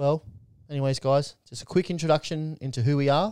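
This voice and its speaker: In an Australian accent, a man with a fairly high pitch speaks at a fairly quick pace with ordinary pitch variation, the sound dry and close with no echo. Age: 20s. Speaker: podcast co-host. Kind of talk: casual chat.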